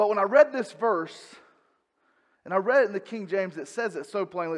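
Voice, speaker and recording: With a North Carolina accent, a man speaks at a high pitch with lively intonation. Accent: Southern US (North Carolina). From North Carolina, US South. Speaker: pastor. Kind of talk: sermon. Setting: church.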